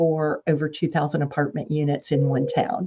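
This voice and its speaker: A woman with a Southern US accent speaks in a dark, mellow tone. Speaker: property management executive. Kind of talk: podcast interview.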